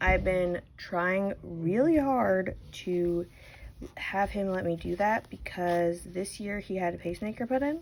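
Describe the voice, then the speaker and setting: A woman speaks in a medium pitch. Her pace is fairly slow. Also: ordinary pitch variation. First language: not English. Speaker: crochet tutorial host. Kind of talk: tutorial with casual chat. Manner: casual, chatty with fillers.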